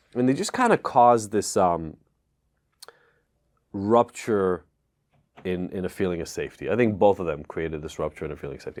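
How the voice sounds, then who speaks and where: The speaker moves at a fairly quick pace with ordinary pitch variation and big swings in loudness. Long pauses come often. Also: man, fairly low pitch for a man. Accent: Israeli. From Israel (Tel Aviv), then US at 14. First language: Hebrew. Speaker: addiction expert. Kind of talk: podcast interview, personal story. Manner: casual, conversational.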